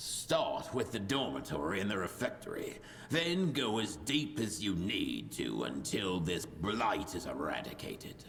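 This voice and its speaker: A man in a put-on character voice talks at a moderate pace with a fairly low pitch and hardly any pauses. Clear background noise is audible. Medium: video game. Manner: sardonic, scornful.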